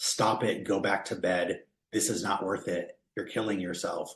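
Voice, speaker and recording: A man does a put-on character voice that is loud, booming and raspy, fairly low in pitch, at a moderate pace. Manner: commanding.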